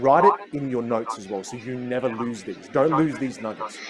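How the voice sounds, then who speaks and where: Noticeable background noise sits behind a man speaking in an animated tone. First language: Teochew. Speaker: communication coach. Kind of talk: online masterclass.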